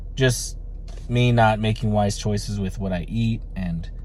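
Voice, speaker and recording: The pace of this man's speech is very slow. There is audible echo in the room. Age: 30s. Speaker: vlogger. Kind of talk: casual vlog monologue. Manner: halting, many fillers.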